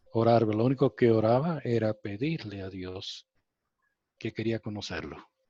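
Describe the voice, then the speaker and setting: Speaking with a non-native accent at a fairly slow pace, a man with medium pitch and a dark, mellow tone shows big swings in loudness and ordinary pitch variation. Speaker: spiritual contactee. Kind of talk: interview testimony. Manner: halting.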